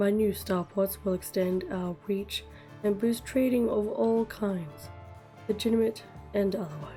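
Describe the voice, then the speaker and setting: Background music under a woman speaking fairly slowly. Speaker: gaming content creator. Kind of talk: quoting a news statement.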